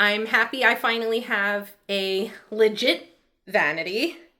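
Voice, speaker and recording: A woman talks at a very slow pace. Her tone is bright and sharp. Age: 30s. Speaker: lifestyle vlogger. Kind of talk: casual vlog update. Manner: chatty, rambling pace.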